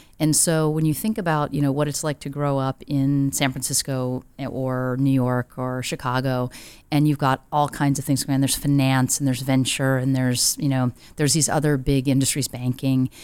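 A woman with an American accent speaks in a very deep, low pitch with monotone, flat intonation. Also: moderate pace. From US Midwest, Rochester, Minnesota. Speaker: nonprofit CEO and social impact investor. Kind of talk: interview conversation. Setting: in-person office recording.

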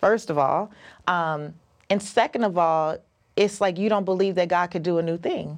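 A woman with a plain, everyday voice speaks at a moderate pace. Her pitch is fairly low, and her intonation fairly even. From US. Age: 40s. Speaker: personal finance author and podcaster. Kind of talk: casual interview.

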